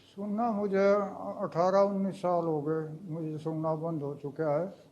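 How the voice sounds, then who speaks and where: With audible room echo, a man talks in a high pitch and fairly even intonation. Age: 60s. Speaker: farmer and mature student. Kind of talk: interview answers. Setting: on location at a training institute.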